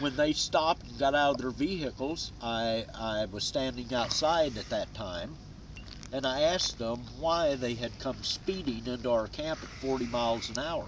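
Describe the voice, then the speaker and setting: A man's medium-pitched voice at a moderate pace. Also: ordinary pitch variation. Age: 60s. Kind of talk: interview testimony. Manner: halting, many fillers.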